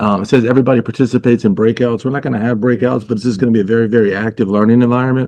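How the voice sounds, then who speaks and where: A man at a medium pitch, very fast pace, and dark, mellow tone. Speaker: motivational speaker. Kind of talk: interactive webinar presentation. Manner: energetic.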